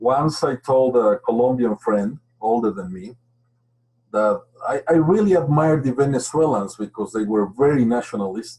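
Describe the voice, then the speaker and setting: A man speaks with a Spanish accent at a moderate pace. He leaves long, frequent pauses. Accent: clear Spanish accent in English. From Mexico. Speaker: geophysicist. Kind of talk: webinar presentation.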